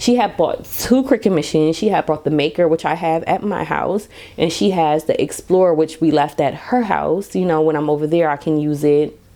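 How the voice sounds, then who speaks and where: Despite noticeable background noise, a woman with a very deep, low voice speaks in an animated tone with lively intonation at a moderate pace and hardly any pauses. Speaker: podcast host, stay-at-home mom. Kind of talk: casual monologue podcast. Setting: home at night.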